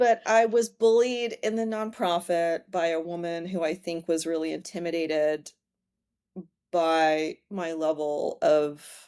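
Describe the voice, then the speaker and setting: The voice has a dark, mellow tone. It moves at a fairly slow pace with ordinary pitch variation. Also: woman. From Hong Kong. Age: 40s. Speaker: former professor and happiness coach. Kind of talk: casual interview chat. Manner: animated.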